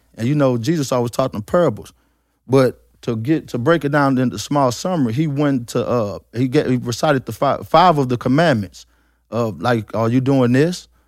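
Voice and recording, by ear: On a very clean recording with a silent background, a man with a plain, everyday voice speaks at a moderate pace and medium pitch with ordinary pitch variation.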